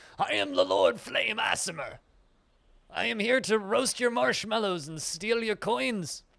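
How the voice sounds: A put-on character voice from a man, pitched high and delivered at a moderate pace.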